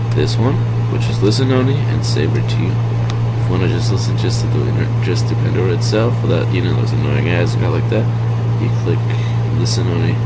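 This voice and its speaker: A man's fairly quick delivery competes with loud background noise. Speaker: tutorial maker. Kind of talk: tutorial. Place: home room.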